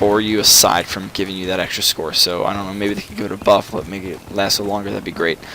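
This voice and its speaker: Noticeable background noise runs beneath the man's voice. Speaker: gaming commentator. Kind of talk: casual gameplay commentary. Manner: fast.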